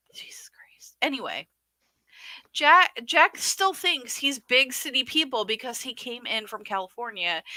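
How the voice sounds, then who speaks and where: A woman with a northern US accent, high-pitched with a bright, sharp tone, at a fairly slow pace, with very wide pitch swings and big swings in loudness, in a dry, close sound with no echo. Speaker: podcast co-host. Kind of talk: casual livestream commentary.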